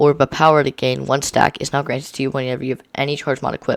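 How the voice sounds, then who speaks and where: This man has a fairly high pitch and talks at a very fast pace. The sound is dry and close, with no echo. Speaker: gaming video creator. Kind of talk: reading aloud. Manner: halting.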